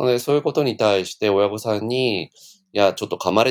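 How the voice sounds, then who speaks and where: A man with an ordinary speaking voice and a fairly low pitch talks at a fairly quick pace, the sound dry and close with no echo. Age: 50s. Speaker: former daycare owner. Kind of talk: casual interview.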